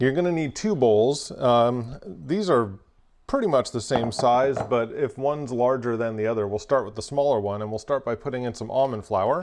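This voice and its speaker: Pitch variation is ordinary as a man talks at a moderate pace. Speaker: presenter. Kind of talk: tutorial. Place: kitchen. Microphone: lapel.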